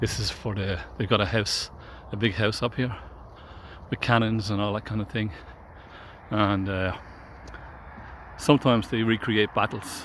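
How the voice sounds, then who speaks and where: A man with an Irish accent, fairly low in pitch, at a moderate pace with long, frequent pauses. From Ireland, Drogheda area. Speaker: vlogger giving a walking tour. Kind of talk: casual walking-tour narration. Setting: outdoors on a riverside walk. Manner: casual, with hesitations.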